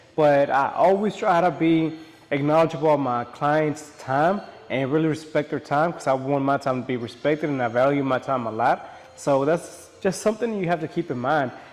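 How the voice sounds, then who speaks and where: There is noticeable background noise behind the speaker. A man talks in a fairly high pitch with ordinary pitch variation. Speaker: barber. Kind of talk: casual vlog talk to camera. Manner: fast.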